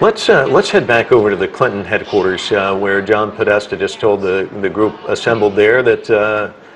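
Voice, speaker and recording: There is noticeable background noise as a man talks fairly quickly. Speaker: news anchor. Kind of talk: live election coverage.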